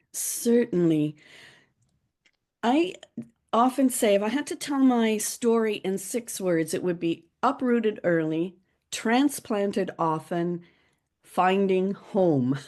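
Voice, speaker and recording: Over a quiet background, a woman speaks at a very slow pace with long, frequent pauses, medium pitch and lively intonation. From Bermuda, born in Liverpool, England. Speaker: author and public speaking coach. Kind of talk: interview conversation.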